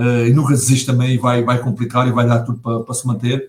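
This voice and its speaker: The man's voice comes across as somewhat breathy. It sits at a medium pitch. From Portugal, Setúbal. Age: 40s. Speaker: football pundit, former player. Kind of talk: casual football talk show. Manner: halting, many repetitions and fillers.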